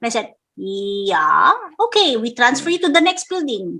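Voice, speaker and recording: A woman's raised, projected voice has a bright, sharp tone and very wide pitch swings. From Philippines. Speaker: actress and singer. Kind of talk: casual interview chat.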